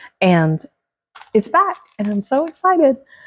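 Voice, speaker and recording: A woman speaks quietly. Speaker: fragrance product reviewer. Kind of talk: casual product review vlog. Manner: trying to speak quietly.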